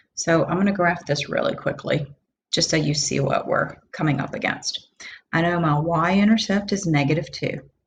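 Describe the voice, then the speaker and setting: Her voice fairly low-pitched and somewhat breathy, a woman speaks at a moderate pace. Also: ordinary pitch variation. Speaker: math teacher. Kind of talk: lecture. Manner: casual.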